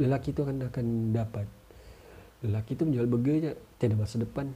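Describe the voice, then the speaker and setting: A man talks at a moderate pace in a somewhat breathy voice with a dark, mellow tone. His intonation stays fairly even. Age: 30s. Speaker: podcaster. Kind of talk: casual monologue.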